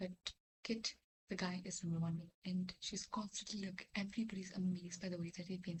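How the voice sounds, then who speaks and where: Somewhat breathy, a woman whispers at a fairly quick pace. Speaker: vlogger. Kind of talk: casual chat. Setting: at home at midnight. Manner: whispering.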